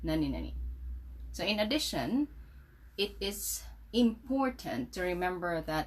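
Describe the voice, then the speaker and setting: A woman speaks with a Visayan Filipino accent. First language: Cebuano (Bisaya). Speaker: English teacher. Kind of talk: tutorial.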